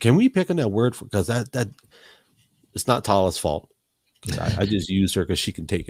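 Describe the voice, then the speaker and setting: The sound is dry and close with no echo as a man talks in a fairly low, somewhat breathy voice with lively intonation. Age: 40s. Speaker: podcast host. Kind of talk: casual chat. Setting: live podcast. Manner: halting, repeats words.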